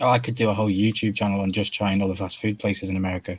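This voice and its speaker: A man with a British accent, very fast, fairly low-pitched, in monotone, flat intonation. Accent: UK. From Wales. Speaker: YouTube collector guest. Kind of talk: casual chat.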